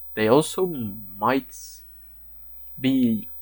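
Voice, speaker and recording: A man with a fairly high pitch, music in the background. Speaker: fitness content creator. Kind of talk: lecture. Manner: halting, with repetitions and stutters.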